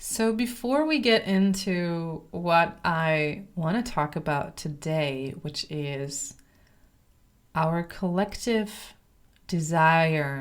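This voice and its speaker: A woman speaks at a very slow pace with lively intonation. Her pitch sits fairly low. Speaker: podcast host and voice coach. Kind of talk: solo podcast monologue.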